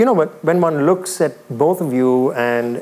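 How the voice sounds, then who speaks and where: A man's warm-toned voice with ordinary pitch variation. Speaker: talk show host and former radio presenter. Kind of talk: live on-stage interview. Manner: warm and effusive. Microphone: lapel.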